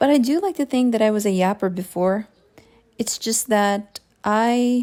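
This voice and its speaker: A woman with a Filipino accent speaks at a fairly slow pace, her pitch fairly high and her tone dark and mellow. Pitch variation is ordinary, and the recording is very clean with a silent background. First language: Tagalog. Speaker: digital artist. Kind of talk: casual voiceover while drawing. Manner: halting, thinking aloud.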